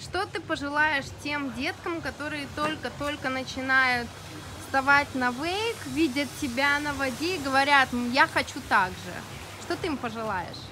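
With music in the background, a woman speaks in a raised, projected voice at a high pitch. Her pace is fairly slow and her pitch variation ordinary. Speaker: interviewer at wake park. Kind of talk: interview questions. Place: waterside.

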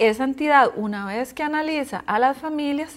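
Delivered at a fairly slow pace, this is a plain, everyday voice. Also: woman. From Costa Rica. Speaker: housing foundation coordinator; guest. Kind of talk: interview; interview answer. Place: studio. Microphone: lapel.

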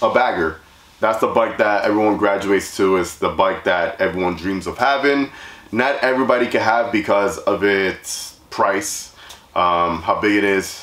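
Audible room echo surrounds a man's fairly low voice, which shows ordinary pitch variation. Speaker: channel host. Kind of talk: casual vlog chat. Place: garage.

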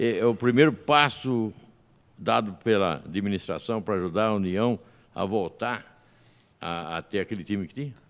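A man speaks at a moderate pace with a fairly low pitch and ordinary pitch variation. He leaves long, frequent pauses. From São Paulo state, Brazil. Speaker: podcast host. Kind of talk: interview. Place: studio. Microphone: studio mic.

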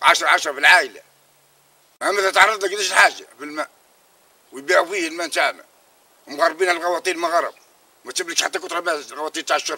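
A man talks very fast, and the sound is dry with no echo. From Tunisia, Tozeur oasis region; Tunisia. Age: 60s. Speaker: farmer. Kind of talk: interview. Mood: complaining, aggrieved. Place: farm.

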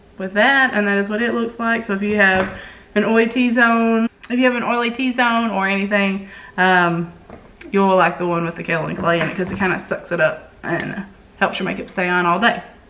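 A woman speaks at a fairly quick pace and medium pitch, with ordinary pitch variation. Noticeable background noise sits behind her. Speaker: makeup artist. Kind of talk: casual talk to camera, product review.

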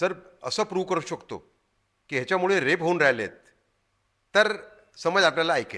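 A man speaks at a high pitch in a bright, sharp tone. His pitch variation is ordinary. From Madhya Pradesh, India (Gwalior). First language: Hindi (speaking Marathi). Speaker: journalist and activist. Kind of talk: interview. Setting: studio. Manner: halting.

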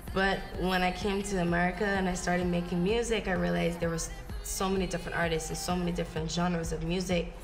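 A woman talks at a very fast pace in a fairly low pitch, with monotone, flat intonation. Clear music plays in the background. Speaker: interviewee. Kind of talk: interview answer. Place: home room.

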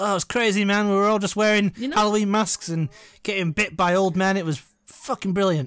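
A man with an English accent speaks at a high pitch and fairly quick pace, with ordinary pitch variation. The sound is dry and close with no echo, on a very clean recording with a silent background. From England. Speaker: film commentary podcast co-host. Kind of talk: casual chat.

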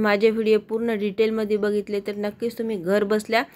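A woman speaks with a fairly high-pitched voice. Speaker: home baker, cake tutorial youtuber. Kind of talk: voice-over cooking tutorial. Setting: home, early morning. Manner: soft-spoken, low volume.

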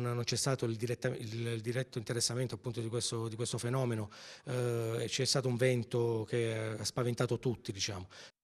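The man's pitch is medium and his intonation fairly even. His pace is fairly quick. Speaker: town mayor, interviewee. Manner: hesitant, formal, filler-laden.

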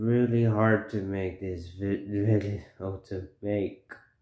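Monotone, flat delivery in a dark, mellow tone, with audible room echo. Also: man. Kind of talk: casual vlog chat. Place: home room. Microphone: phone near.

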